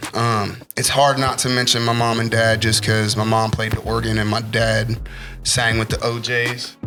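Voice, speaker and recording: A man speaks at a moderate pace with a medium pitch, very even loudness and monotone, flat intonation. Music plays in the background, and there is audible room echo. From Ohio (Zanesville). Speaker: rapper. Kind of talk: interview.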